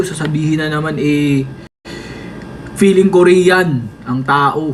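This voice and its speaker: In an ordinary speaking voice, a man talks at a fairly slow pace. His pitch is fairly high, with ordinary variation. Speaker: idol group member livestreaming to fans. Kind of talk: casual livestream chat reading comments. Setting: TikTok live stream.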